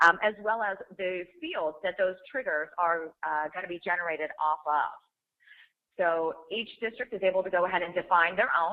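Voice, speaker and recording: A woman with an unremarkable speaking voice talks at medium pitch and a moderate pace with ordinary pitch variation. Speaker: software trainer. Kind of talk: webinar software demo. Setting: online webinar. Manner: too quiet.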